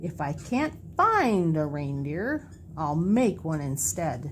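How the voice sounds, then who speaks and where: A woman's put-on character voice, growling and very deep and low, with lively intonation, a fairly slow pace and light background noise. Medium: read story. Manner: snarling, sneering.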